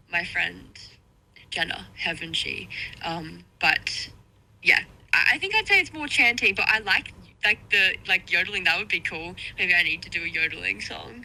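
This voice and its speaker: Pausing long and often, a woman speaks at a moderate pace. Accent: Australian. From Australia, small town near Sydney. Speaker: electronic music artist. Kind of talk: radio interview. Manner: casual, many fillers.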